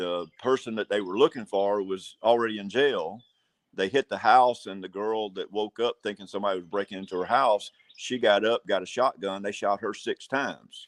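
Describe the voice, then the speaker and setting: Speaking at a moderate pace against a quiet background, a man with an Alabama accent uses a fairly low pitch and fairly even intonation. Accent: Southern US (Alabama). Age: 60s. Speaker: sheriff candidate. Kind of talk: interview. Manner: halting.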